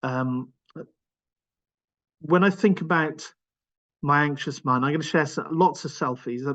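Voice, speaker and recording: A man speaks at a moderate pace with a Welsh accent. His pitch is fairly high, with ordinary variation. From Wales (Cardiff). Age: 50s. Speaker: charity executive speaking on his own anxiety. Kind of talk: personal testimony in a webinar. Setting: online webinar. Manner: halting, many fillers and repetitions.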